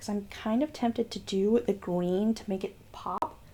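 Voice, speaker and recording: A woman mumbles at a fairly slow pace, her medium pitch showing ordinary variation. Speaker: beauty youtuber. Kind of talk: makeup tutorial. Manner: mumbling; casual, chatty. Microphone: far from the mic, hard to hear.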